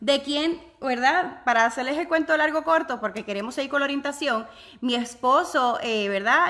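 This woman has a high pitch and a bright, sharp tone, her voice raised and projected. She talks at a moderate pace with an animated tone and lively intonation. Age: 30s. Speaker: online business vlogger. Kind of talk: live stream chat with viewers. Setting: home office, live video.

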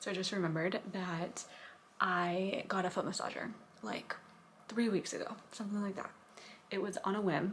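Putting on a raspy character voice, a woman whispers at a moderate pace with long, frequent pauses against clear background noise. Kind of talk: casual vlog chat. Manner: whispering.

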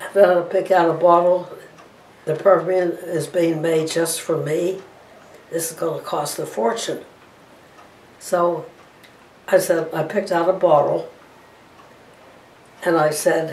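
A woman with an American accent speaks in a fairly low, monotone voice with flat intonation, at a fairly slow pace with long, frequent pauses, amid audible room echo. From Johnstown, Pennsylvania. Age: 80s+. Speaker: oral history interviewee. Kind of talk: oral history interview answer. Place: home room. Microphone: camera far.

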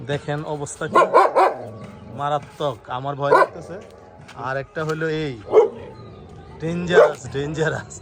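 A man's fairly high voice, with fairly even intonation, comes through noticeable background noise. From Bangladesh, Sarail, Brahmanbaria. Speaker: video blogger. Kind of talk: casual interview.

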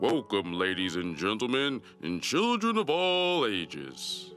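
A man's booming put-on character voice at medium pitch, fairly slow, with very wide pitch swings over clear background music. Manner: showman announcing.

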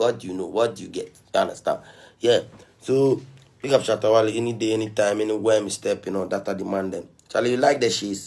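A man talks at a very fast pace in an upbeat tone. His pitch variation is ordinary. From Ghana. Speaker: musician on live stream. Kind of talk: casual livestream chat. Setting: live video stream. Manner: upbeat, motivational, slangy. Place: home room.

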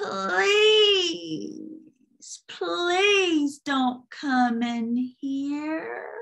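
A woman puts on a high, squeaky, creaky character voice. Her pitch swings very widely. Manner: pleading, begging.

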